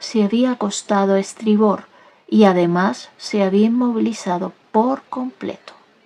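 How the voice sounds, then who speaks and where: Soft-spoken and gentle in tone, a woman speaks at a fairly slow pace. Her pitch sits in the medium range. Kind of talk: soft audiobook-style reading, ASMR. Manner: soft-spoken, gentle, slow.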